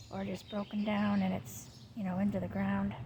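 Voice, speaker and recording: A woman speaks at a moderate pace. She is soft-spoken. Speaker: vlogger. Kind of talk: casual vlog. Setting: outdoors.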